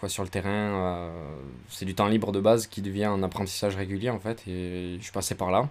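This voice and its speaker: Fairly low-pitched male speech, monotone and flat, at a fairly quick pace. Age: 20s. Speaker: photographer and video content creator. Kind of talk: casual interview chat.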